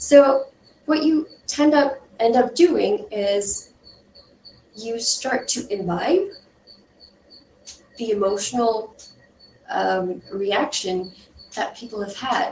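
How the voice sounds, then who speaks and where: A woman at a very slow pace, fairly high in pitch, with lively intonation and long, frequent pauses over noticeable background noise. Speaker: UX design instructor. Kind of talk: lecture.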